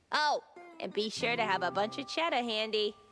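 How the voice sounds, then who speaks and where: A female-sounding put-on character voice is heard over faint music in the background. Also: fairly high pitch for a woman, moderate pace. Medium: video game. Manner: casual, jokey.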